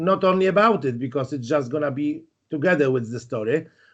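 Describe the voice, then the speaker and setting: A man's fairly high voice with a Polish accent. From Poland, Warsaw. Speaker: YouTube host. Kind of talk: interview. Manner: halting.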